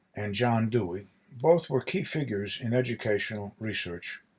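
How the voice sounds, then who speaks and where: At a moderate pace, a man talks in a normal speaking voice at medium pitch, his intonation lively. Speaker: author. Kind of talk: audiobook reading of nonfiction.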